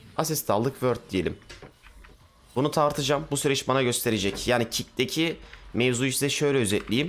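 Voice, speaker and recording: A man's animated tone at a moderate pace, with very even loudness, ordinary pitch variation and light background noise. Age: 20s. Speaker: gaming streamer. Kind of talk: casual chat. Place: home room. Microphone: headset.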